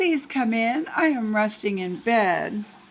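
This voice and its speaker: A female-sounding voice does a put-on character voice. It is fairly high in pitch and fairly slow in pace. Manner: feigned sweet, deceptive.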